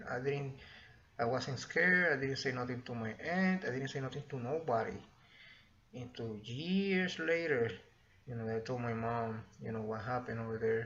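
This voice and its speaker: In a Spanish accent, a man speaks at a moderate pace with a medium pitch and ordinary pitch variation. Audible room echo surrounds his voice. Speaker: vlogger. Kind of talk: personal storytelling. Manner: halting.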